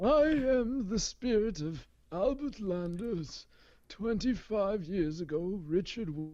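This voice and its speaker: A put-on character voice at middle pitch and a fairly slow pace. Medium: read story. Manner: hollow, solemn.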